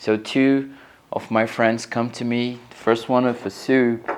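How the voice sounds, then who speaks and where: A man speaks with a Portuguese accent. His pitch is medium. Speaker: interviewee. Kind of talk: interview. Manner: halting.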